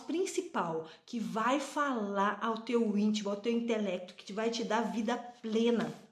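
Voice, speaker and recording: Audible room echo surrounds the recording. The woman speaking has a fairly high pitch. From Brazil. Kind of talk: devotional talk to camera. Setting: on a train.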